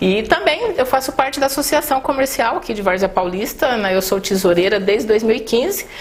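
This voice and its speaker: Over noticeable background noise, a woman with a high pitch speaks at a fairly quick pace with lively intonation. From northeast Brazil, raised in São Paulo state. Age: 50s. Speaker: mayoral candidate. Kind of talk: interview.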